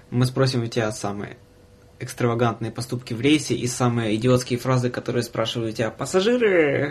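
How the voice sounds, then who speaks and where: The voice is somewhat breathy and moves at a fairly quick pace with fairly even intonation, broken by long, frequent pauses. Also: man. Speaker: podcast host, former train conductor. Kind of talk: casual chat. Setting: studio. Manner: soft-spoken.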